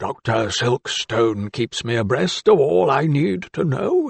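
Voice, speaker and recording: Using a put-on character voice, a man talks in a raspy tone at a medium pitch and a fairly slow pace. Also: lively intonation. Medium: read story. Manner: jovial, chuckling.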